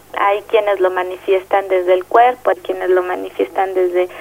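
Against noticeable background noise, a woman with a Mexico City accent speaks at a moderate pace. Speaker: social psychologist. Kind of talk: interview. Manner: hesitant, with fillers.

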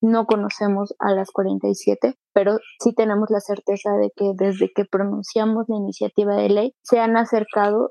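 A woman with an unremarkable speaking voice talks at a fairly slow pace, her pitch sitting in the medium range. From Mexico City (Iztacalco). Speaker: local legislator. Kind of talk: radio interview.

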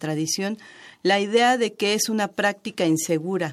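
A normal speaking voice at a moderate pace, on a very clean recording with a silent background. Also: woman. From Mexico, Chiapas. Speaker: traditional midwife. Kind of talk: radio interview.

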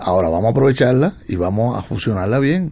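Talking at a very fast pace, a man has a fairly low pitch and a dark, mellow tone. His intonation is lively. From Cuba. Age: 60s. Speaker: jazz trumpeter. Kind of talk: radio interview. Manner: halting.

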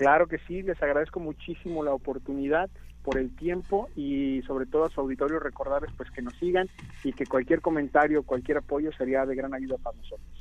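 Fairly high-pitched for a man, this unremarkable speaking voice moves at a fairly quick pace with fairly even intonation. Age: 30s. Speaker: medical doctor, app project leader. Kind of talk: interview. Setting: phone call.

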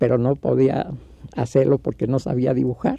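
Vocal fry runs through a man's dark, mellow tone at a medium pitch. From Mexico City. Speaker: puppeteer. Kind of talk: interview.

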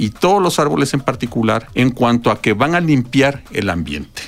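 A man speaks in a plain, everyday voice. His pitch is fairly high, with lively intonation and a moderate pace. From Mexico, outside Mexico City. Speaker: ecology researcher and professor. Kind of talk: radio interview. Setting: radio studio.

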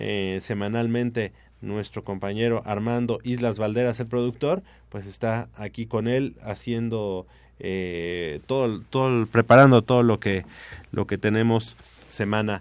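An unremarkable speaking voice, this man talks at a medium pitch and moderate pace. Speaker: radio sports host. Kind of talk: sports talk radio. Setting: radio studio.

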